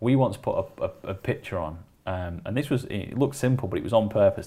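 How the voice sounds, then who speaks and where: A man with a Lancashire accent talks at a fairly quick pace. His voice is somewhat breathy. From northern England, Wigan. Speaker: creative agency operations director. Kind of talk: casual interview chat. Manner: hesitant with fillers and repetitions.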